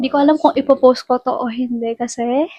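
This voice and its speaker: A woman with a high pitch and a dark, mellow tone speaks at a fairly slow pace in a dry, close sound with no echo. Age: young. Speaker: vlogger. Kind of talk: casual chat. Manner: talkative.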